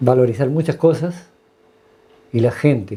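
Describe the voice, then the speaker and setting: A man speaks in a dark, mellow tone. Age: 60s. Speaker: retired health worker. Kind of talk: interview testimony. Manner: halting, many fillers.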